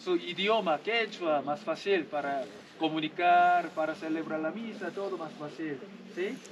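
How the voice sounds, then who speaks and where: The speaker has a Korean accent and ordinary pitch variation, moving at a fairly slow pace. Noticeable background noise is present. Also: man, high pitch for a man. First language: Korean (speaking Spanish). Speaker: missionary priest. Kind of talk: homily to rural congregation. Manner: simple, repetitive broken Spanish.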